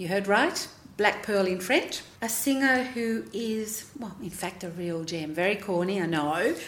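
Her pace fairly slow, a woman speaks at a medium pitch. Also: ordinary pitch variation.

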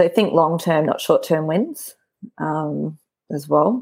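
This is a woman with an Australian accent. The background is quiet. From Brisbane, Australia. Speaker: recruitment consultant. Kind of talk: casual interview chat.

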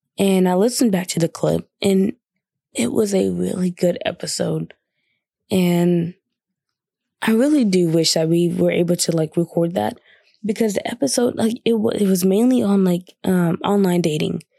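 A woman speaks at a moderate pace and medium pitch with lively intonation and a dark, mellow tone. Her loudness stays very even, and the sound is dry and close with no echo. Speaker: podcast host. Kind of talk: casual solo podcast monologue. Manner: casual, filler-heavy.

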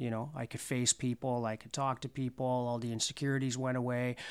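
A man in a Canadian accent rattles along at a very fast pace, medium in pitch and monotone, with flat intonation. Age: 30s. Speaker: recovering addict, community founder. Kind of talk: testimony. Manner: halting.

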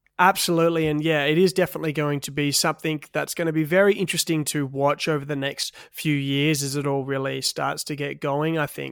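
In an Australian accent, a man with a fairly high pitch speaks at a fairly quick pace with monotone, flat intonation and hardly any pauses. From Western Australia, Perth. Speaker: podcast host. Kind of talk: interview. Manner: casual.

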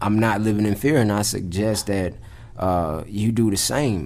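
A man with a fairly low pitch speaks at a moderate pace. Audible room echo surrounds his voice. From US South, Atlanta (Clayton County, Georgia). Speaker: podcast co-host. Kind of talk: casual chat.

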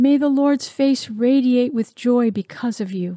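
The speaker talks at a very slow pace, with ordinary pitch variation and a warm, solemn tone. The tone is also dark and mellow, and the sound is dry and close with no echo. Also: woman. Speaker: devotional speaker. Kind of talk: fervent prayer and spoken blessing, declared over the listener. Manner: earnest, warm, solemn.

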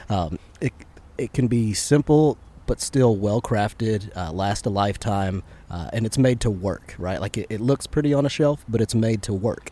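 A fairly low-pitched man with an American accent and a dark, mellow tone, ordinary pitch variation and a moderate pace. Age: 30s. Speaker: podcast host and shop owner. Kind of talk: casual chat. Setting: on a boat.

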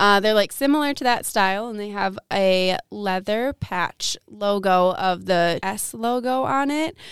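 A woman's ordinary speaking voice at medium pitch, fairly slow in pace with hardly any pauses, dry and close with no echo, on a very clean recording with a silent background. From Wisconsin, Milwaukee area. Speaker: university student. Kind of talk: casual chat.

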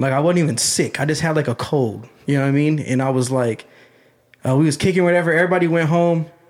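An unremarkable speaking voice with an American accent. The loudness stays very even. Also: man. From Ohio, US (Canton). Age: 20s. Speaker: rapper. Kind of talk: casual chat.

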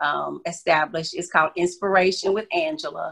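A woman with a plain, everyday voice speaks at a moderate pace, her pitch fairly low. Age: 40s. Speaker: author. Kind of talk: interview.

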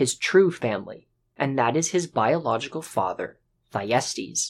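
Over a quiet background, a man speaks fairly slowly at a fairly high pitch. His dramatic tone carries very wide pitch swings. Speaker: podcast host. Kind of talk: mythic storytelling narration; scripted-style podcast monologue. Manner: vivid, dramatic storyteller pacing; conversational, upbeat.

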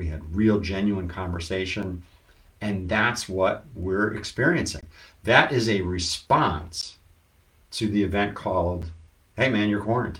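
A man with an ordinary speaking voice, ordinary pitch variation and a fairly slow pace. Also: fairly low pitch for a man. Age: 50s. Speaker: business consultant and podcast host. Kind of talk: casual live-stream talk. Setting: social media live video.

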